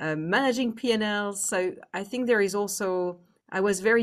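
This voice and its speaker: A woman with a French accent and ordinary pitch variation, against a quiet background. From France. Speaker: business executive. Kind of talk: interview.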